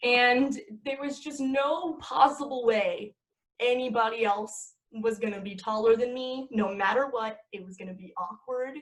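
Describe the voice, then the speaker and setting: An animated tone at a fairly slow pace, with big swings in loudness and ordinary pitch variation. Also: woman, high pitch for a woman. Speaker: actress and aspiring director. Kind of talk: casual chat.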